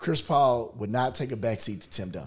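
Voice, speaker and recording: Vocal fry runs through this man's voice. His intonation is lively. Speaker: podcast host. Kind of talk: casual sports debate.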